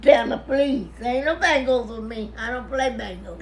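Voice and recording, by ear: A woman speaks at a moderate pace with a fairly high pitch and ordinary pitch variation. Faint background noise can be heard.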